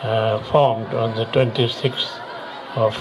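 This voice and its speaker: A man speaks at a fairly slow pace in a monotone, flat delivery, with crowd noise behind him and audible echo in the room. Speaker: retired air force officer, chief guest. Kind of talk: ceremonial speech. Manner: halting.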